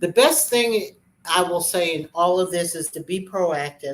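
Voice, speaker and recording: Speaking in an ordinary speaking voice, a woman with a fairly low pitch moves at a fairly slow pace with lively intonation. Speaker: real estate show host. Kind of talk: informational talk.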